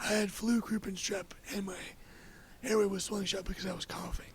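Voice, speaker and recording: The man talks at a high pitch. Noticeable background noise fills the recording too. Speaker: podcast guest sharing life story. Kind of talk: casual interview conversation. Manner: halting, with many fillers.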